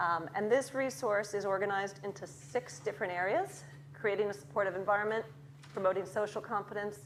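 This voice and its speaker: Lively intonation marks this voice with an American accent, at a fairly quick pace. Audible room echo surrounds it. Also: woman, medium pitch for a woman. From Chicago, US. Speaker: academic researcher in early childhood education. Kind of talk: lecture. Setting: lecture theatre with audience.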